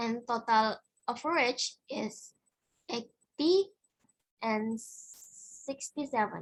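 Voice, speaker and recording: A woman speaks very slowly with a fairly high pitch and an Indonesian accent, pausing long and often. The recording is very clean, with a silent background. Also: ordinary pitch variation. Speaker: student presenting research. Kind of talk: conference presentation. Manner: halting.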